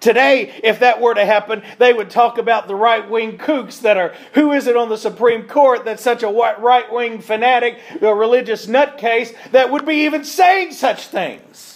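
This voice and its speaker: This man's pitch is extremely high. He keeps a moderate pace with ordinary pitch variation. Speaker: preacher. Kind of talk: sermon. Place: church.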